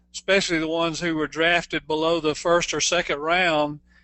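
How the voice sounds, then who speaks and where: Speaking with an American accent, a man with a high pitch keeps a monotone, flat intonation at a moderate pace. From USA. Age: 60s. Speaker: network marketing distributor, former basketball player. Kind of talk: interview. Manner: halting with many fillers.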